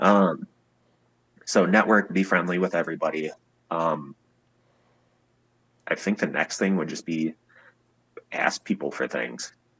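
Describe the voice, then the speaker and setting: A man with an Upper Midwest accent speaks very deep and low, with vocal fry and ordinary pitch variation. His pace is fairly slow, with long, frequent pauses, and the sound is dry and close with no echo. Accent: Upper Midwest American. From Wisconsin, USA. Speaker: musician, guitarist. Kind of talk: interview answer.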